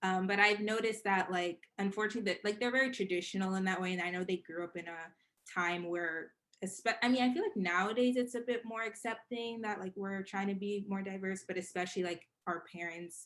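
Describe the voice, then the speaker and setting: Here a woman speaks with a New York accent at a medium pitch. Her pace is fairly quick and her intonation fairly even. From Queens, New York. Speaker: podcast guest. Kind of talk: casual chat.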